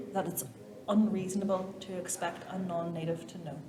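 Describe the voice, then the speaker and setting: With a Derry accent, a woman speaks at a moderate pace and medium pitch with ordinary pitch variation, amid noticeable background noise and audible room echo. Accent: Northern Irish (Derry). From Northern Ireland, Derry. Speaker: actor and theatre maker. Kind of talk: interview conversation. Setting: arts center stage area. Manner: animated.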